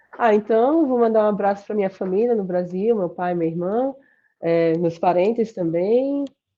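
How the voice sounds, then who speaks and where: The speaker talks with a Sergipe accent and ordinary pitch variation. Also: woman, medium pitch for a woman. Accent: Sergipe Brazilian. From Brazil, Sergipe. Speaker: computer science professor. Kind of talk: interview. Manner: fast.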